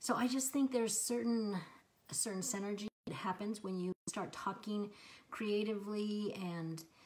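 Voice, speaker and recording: Somewhat breathy, a woman with a medium pitch speaks at a fairly slow pace with fairly even intonation. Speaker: lifestyle vlogger. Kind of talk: casual talk to camera. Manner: hesitant, many ums.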